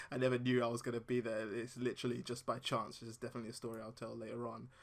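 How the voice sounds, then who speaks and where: At a very fast pace, a man talks with vocal fry, medium pitch, and monotone, flat intonation. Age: 20s. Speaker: investing YouTuber. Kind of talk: casual vlog introduction. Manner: casual, chatty.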